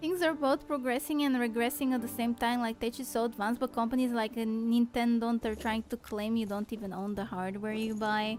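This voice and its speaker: With a non-native accent, a woman talks at a fairly quick pace with hardly any pauses, using a fairly high pitch and ordinary pitch variation. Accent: noticeable non-native. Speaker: vtuber streamer. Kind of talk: casual live-stream chat. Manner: animated.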